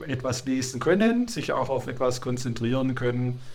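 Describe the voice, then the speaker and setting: A man with a medium-pitched voice speaks amid audible room echo. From Germany, Swabia (Sindelfingen). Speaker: churchgoer interviewee. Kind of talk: interview. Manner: halting, many hesitations.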